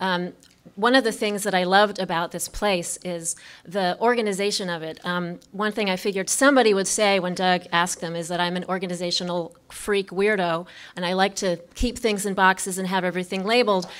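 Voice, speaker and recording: Delivery is at a fairly quick pace with fairly even intonation. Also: woman, medium pitch for a woman. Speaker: artist. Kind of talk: presentation talk. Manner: fast; halting.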